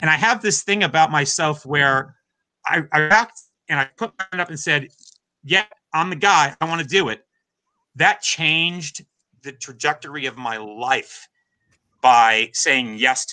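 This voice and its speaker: Over a quiet background, a man with a fairly high, bright, sharp voice talks fairly slowly with lively intonation, big swings in loudness and long, frequent pauses. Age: 50s. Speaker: drummer and drum teacher; drum teacher. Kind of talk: interview. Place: home room.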